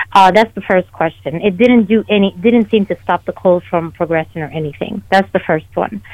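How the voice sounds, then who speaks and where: A woman with an unremarkable speaking voice, fairly low in pitch, with ordinary pitch variation. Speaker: caller. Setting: phone call.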